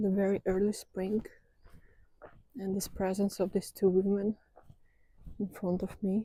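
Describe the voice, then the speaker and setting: A woman speaks fairly slowly in a monotone, with long pauses coming often. Her medium-pitched voice has a dark, mellow tone and is somewhat breathy. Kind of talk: ASMR walking talk to camera. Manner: soft-spoken, slow.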